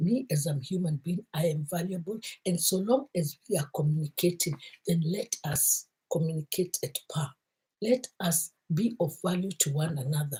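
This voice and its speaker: Dark, mellow and somewhat breathy tone with lively intonation at a moderate pace, a dry, close sound with no echo. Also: woman, fairly low pitch for a woman. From Kenya. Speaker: motivational vlogger. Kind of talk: motivational talk.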